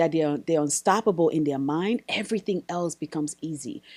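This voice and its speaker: A woman with a dark, mellow tone and fairly low pitch speaks at a moderate pace in a very clean recording with a silent background. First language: not English. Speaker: wig business owner and business coach. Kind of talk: casual podcast conversation.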